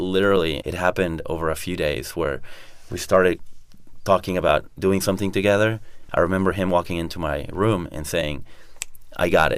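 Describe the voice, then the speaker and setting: A man with a Spanish accent and a very deep, low voice moves at a fairly quick pace between long, frequent pauses, his intonation fairly even. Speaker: entrepreneur. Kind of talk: interview.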